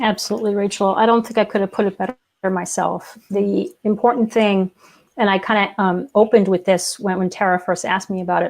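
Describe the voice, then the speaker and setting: Against a quiet background, a woman with a plain, everyday voice talks at a fairly quick pace with a medium pitch and fairly even intonation. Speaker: podcast co-host, copywriter. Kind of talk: casual interview chat.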